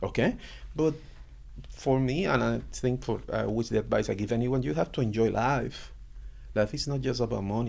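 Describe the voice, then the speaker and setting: The speaker is a man with a Puerto Rican accent. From Puerto Rico. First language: Spanish. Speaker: university computer science lecturer. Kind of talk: casual interview.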